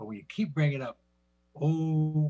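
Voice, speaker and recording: This man has a fairly high pitch and a somewhat breathy voice. The sound is dry and close, with no echo. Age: 70s. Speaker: community member, veteran. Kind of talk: community forum remarks. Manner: halting.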